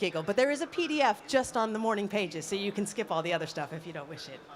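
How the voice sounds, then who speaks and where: Speaking very fast in a Californian accent, a woman with a medium-pitched voice uses lively intonation. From US, Los Angeles. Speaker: mentor and independent consultant. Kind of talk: conference talk. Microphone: handheld mic held close to mouth.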